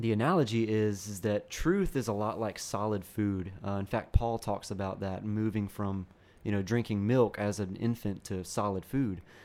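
In a normal speaking voice, a man speaks at a moderate pace with hardly any pauses. His pitch is fairly low and his intonation fairly even, on a very clean recording with a silent background. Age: 20s. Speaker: pastoral resident and author. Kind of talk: interview.

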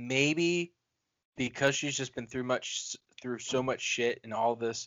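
In a plain, everyday voice, a man speaks fairly slowly at medium pitch with ordinary pitch variation. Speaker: horror movie podcast co-host. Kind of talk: casual chat.

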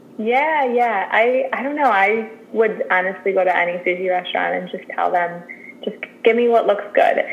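Noticeable background noise sits under the voice. The speech comes with an American accent. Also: woman, fairly high pitch for a woman, ordinary pitch variation, moderate pace. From Chicago. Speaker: registered dietitian. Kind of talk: interview.

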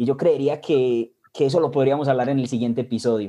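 The man talks with a dark, mellow tone at a medium pitch. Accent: Colombian Paisa. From Colombia, Medellín. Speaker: podcast co-host. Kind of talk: casual chat.

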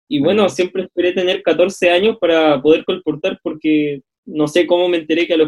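Here a man with an unremarkable speaking voice talks at a fairly quick pace, using ordinary pitch variation. The sound is dry and close, with no echo. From northern Chile, Calama. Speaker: theology student. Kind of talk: casual chat.

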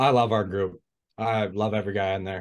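A man with a Canadian Prairies accent at a moderate pace over a quiet background. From Manitoba, Canada. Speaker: junior hockey player. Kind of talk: interview. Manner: frequent 'uh' fillers.

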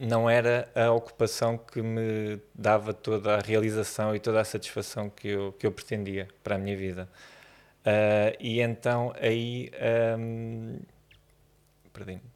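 Fairly slow, monotone delivery with flat intonation and long, frequent pauses, in a very clean recording over a silent background. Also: man, fairly low pitch for a man. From Portugal, Vila Franca de Xira. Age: 30s. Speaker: photographer. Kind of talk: interview conversation. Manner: halting, many repetitions and fillers.

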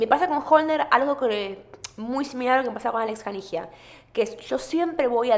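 Her intonation lively and her pitch fairly high, a woman speaks at a moderate pace. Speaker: podcast host. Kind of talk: casual chat.

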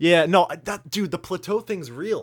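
With a silent background, this very clean recording has a dry, close sound and no echo. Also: man. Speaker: YouTuber and animator, podcast co-host. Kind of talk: casual chat. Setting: voice call. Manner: joking, halting with filler words.

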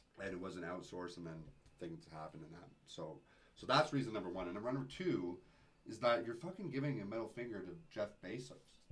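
Talking at a very fast pace with a Canadian accent, a man with a fairly low pitch uses lively intonation and big swings in loudness, and audible room echo surrounds him. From Calgary, Canada. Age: 20s. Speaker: vintage thrift store owner and DJ. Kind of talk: casual chat.

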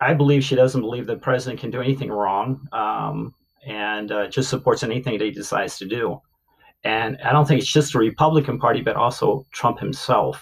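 With an American accent, a man speaks at a fairly quick pace and medium pitch. His intonation is fairly even, with vocal fry throughout. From US, Maryland Eastern Shore (Salisbury). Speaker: Air Force veteran. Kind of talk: interview. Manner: halting, frequent fillers.

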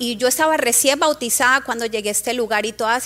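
Moving at a fairly quick pace, a woman with a strong Colombian accent speaks at a high pitch with ordinary pitch variation. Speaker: congregation member. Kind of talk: testimony.

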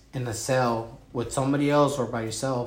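A man's speech comes with audible room echo, backed by noticeable noise. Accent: American. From Wisconsin. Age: 30s. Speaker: former prisoner. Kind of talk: interview. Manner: halting.

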